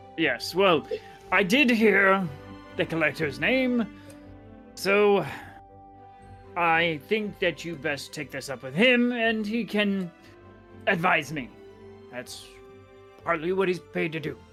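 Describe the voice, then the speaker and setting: A woman's put-on character voice, fairly low-pitched and fairly slow, with long, frequent pauses and clear music in the background. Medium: actual play. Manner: brusque, dry.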